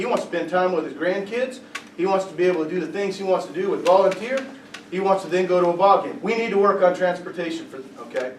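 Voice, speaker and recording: With noticeable background noise and audible room echo, a man speaks very fast at a high pitch with ordinary pitch variation. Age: younger than 70. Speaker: political candidate. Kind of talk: candidate forum Q&A.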